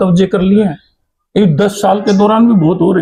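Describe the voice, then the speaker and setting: This is a man speaking. His voice sits at a high pitch. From Haryana, Bhiwani. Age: 50s. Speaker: politician. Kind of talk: interview. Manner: halting.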